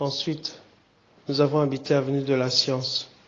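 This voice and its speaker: Monotone, flat intonation at a fairly slow pace. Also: man. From DR Congo, Kinshasa. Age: 50s. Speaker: pastor. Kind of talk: personal testimony message. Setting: hospital room, audio recording.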